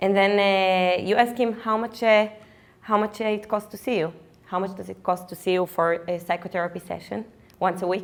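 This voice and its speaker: This woman speaks in an Israeli accent at a medium pitch. Her pace is moderate and her intonation fairly even. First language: Hebrew. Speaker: physician and startup co-founder. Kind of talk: startup pitch presentation. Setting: stage with live audience. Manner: halting, many fillers.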